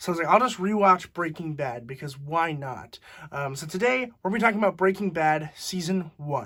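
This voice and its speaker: The voice is quiet, with a bright, sharp tone and big swings in loudness. It moves at a fairly quick pace with lively intonation. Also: man, high pitch for a man. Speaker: TV show reviewer. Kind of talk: casual review monologue.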